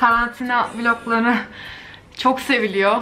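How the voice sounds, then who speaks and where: A woman talks with monotone, flat intonation over light background noise. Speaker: vlogger. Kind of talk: casual vlog chat. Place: home room. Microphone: phone near.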